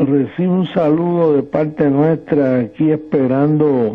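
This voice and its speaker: Against a quiet background, a man talks at a very slow pace. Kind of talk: casual phone conversation. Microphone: phone line.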